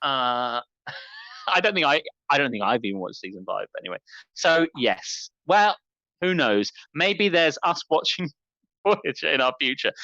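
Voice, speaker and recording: Long, frequent pauses break up this speech delivered in a strong British accent. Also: moderate pace. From UK. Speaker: podcast co-host. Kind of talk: casual chat. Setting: live stream.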